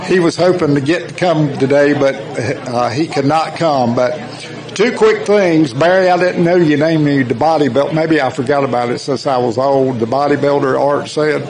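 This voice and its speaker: Over noticeable background noise and audible room echo, a man with a fairly high voice talks with ordinary pitch variation and very even loudness. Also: moderate pace. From US South. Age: 60s. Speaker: former racing team member. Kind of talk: tribute speech.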